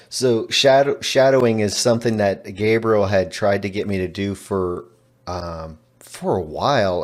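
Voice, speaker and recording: With a Texan accent, a man talks at a moderate pace in a fairly low voice with ordinary pitch variation. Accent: Texan American English. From Texas. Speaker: language learner. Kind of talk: interview.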